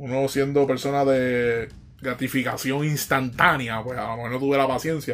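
There is noticeable background noise. Against it, a man with a fairly high pitch speaks at a moderate pace. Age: 30s. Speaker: podcast host. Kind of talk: casual solo monologue. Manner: hesitant, many fillers.

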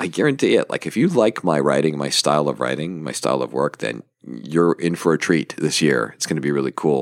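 A man speaks in an upbeat, enthusiastic tone at a very deep, low pitch with vocal fry and ordinary pitch variation. The recording is dry and close with no echo. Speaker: podcast host and small publisher. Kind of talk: casual solo podcast monologue. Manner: rambling, hesitant, with fillers.

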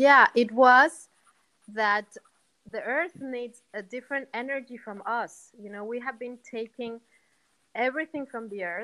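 A woman at a fairly slow pace, with ordinary pitch variation and a dry, close sound free of echo. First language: not English. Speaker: meditation teacher. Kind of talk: guided conversation about meditation. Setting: video call.

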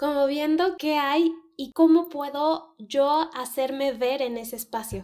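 On a very clean recording with a silent background, a woman speaks in a high pitch with fairly even intonation. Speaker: podcast co-host, former teacher. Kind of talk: casual chat.

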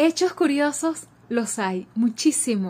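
A woman with a high pitch speaks at a very slow pace on a very clean recording with a silent background. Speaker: radio presenter and contest judge. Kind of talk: interview.

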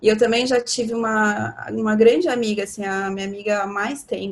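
An ordinary speaking voice from a woman, medium in pitch, fairly quick, with fairly even intonation. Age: 30s. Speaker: astrology guest. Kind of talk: casual chat.

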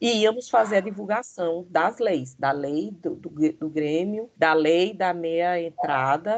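At a very slow pace with hardly any pauses, a woman speaks in a fairly low pitch with lively intonation. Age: 50s. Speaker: history teacher and former student leader. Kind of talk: interview.

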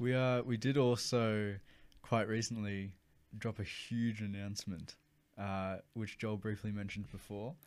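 At a fairly slow pace, a man talks at a fairly low pitch with fairly even intonation. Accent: Australian. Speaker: podcast host. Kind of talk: casual chat.

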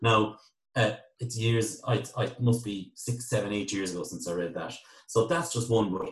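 A man with a western Irish accent speaks at a medium pitch, somewhat breathy, with ordinary pitch variation. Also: moderate pace. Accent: Irish (west of Ireland). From Ireland, County Galway. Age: 30s. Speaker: IT business owner. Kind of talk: interview.

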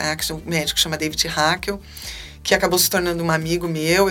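At a moderate pace, a woman speaks in a calm tone over noticeable background noise. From Brazil, Salvador, Bahia. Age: 40s. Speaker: physician. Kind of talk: interview. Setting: studio.

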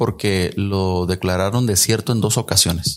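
A man's ordinary speaking voice, fairly low in pitch and fairly slow in pace, on a very clean recording with a silent background. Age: 40s. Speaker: musician and communications graduate. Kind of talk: casual interview.

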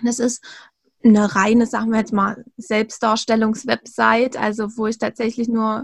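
A woman talks at a fairly slow pace and a fairly high pitch. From Thuringia, eastern Germany. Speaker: virtual assistant. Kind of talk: interview. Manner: hesitant, frequent fillers.

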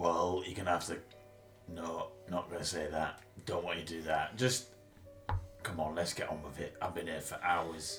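Over clear background music, a man does a raspy put-on character voice with very deep, low pitch, fairly even intonation and a moderate pace, broken by long, frequent pauses. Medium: actual play.

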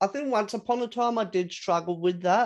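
Speaking at a moderate speed, a man talks with an Australian accent. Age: 30s. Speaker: podcast host. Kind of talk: casual chat.

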